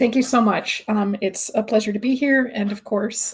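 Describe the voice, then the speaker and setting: At a fairly quick pace, the speaker sounds somewhat breathy. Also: woman. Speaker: researcher. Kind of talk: webinar presentation.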